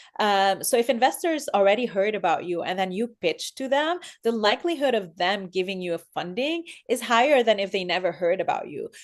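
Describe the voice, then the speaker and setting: Her pitch fairly high and swinging very widely, a woman speaks at a fairly quick pace over a quiet background. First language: not English; English is her third language. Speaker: startup founder and investor. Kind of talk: interview.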